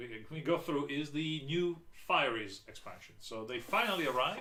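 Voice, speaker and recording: With a non-native accent, a man speaks at a fairly slow pace and fairly high pitch, his intonation lively, amid audible room echo and noticeable background noise. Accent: non-native English accent, self-noted. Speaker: board game designer. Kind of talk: live stream product presentation. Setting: live video stream. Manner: hesitant, many fillers.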